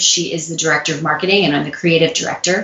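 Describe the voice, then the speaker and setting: A woman with an American accent has an unremarkable speaking voice, a fairly low pitch and fairly even intonation. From US Midwest, St. Louis. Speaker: public speaking coach and former dancer. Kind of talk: interview.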